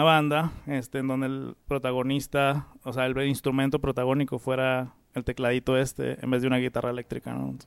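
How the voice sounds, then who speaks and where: At a fairly quick pace, a man speaks in a flat monotone at a medium pitch. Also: hardly any pauses. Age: 30s. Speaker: musician. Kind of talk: casual chat.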